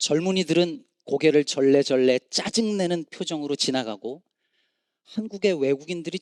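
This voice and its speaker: A man with an ordinary speaking voice talks at a moderate pace with lively intonation, the sound dry and close with no echo. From Korea, Chungcheong province. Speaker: pastor. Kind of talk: sermon.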